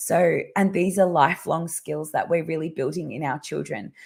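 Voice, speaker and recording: This woman speaks with an Australian accent at a moderate pace, her fairly low pitch marked by vocal fry. The recording is very clean, with a silent background. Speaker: parenting educator. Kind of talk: live stream talk. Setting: live video stream. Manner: halting, many fillers.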